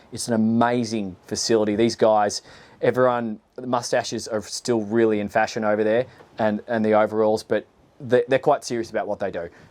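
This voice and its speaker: In an Australian accent, a man talks with fairly even intonation and a fairly low pitch. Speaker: boat reviewer, former boat salesman. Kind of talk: video walkthrough presentation. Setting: outdoors on a boat. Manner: casual, conversational with fillers.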